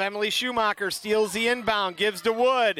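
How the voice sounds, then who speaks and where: A raised, projected voice comes at a fairly slow pace, with a dry, close sound and no echo. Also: man. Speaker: basketball play-by-play announcer. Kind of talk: live sports commentary. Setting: gymnasium, live game broadcast. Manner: upbeat, enthusiastic.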